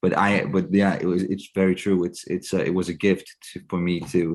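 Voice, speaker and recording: With a Danish accent, a man speaks at a moderate pace. His pitch is very deep and low. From Denmark. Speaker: actor. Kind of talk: interview. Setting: video call. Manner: halting.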